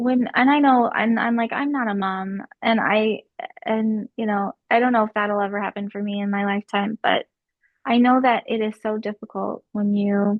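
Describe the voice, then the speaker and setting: Her voice is an ordinary speaking voice, fairly high in pitch, as the woman talks at a moderate pace with fairly even intonation. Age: 30s. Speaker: content creator. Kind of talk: casual chat.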